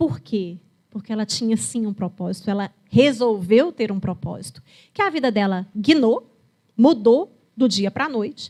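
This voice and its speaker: On a very clean recording with a silent background, a woman with a dark, mellow tone and fairly high pitch speaks somewhat breathily at a fairly slow pace, with lively intonation. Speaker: geriatrician. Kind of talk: lecture. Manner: conversational, storytelling.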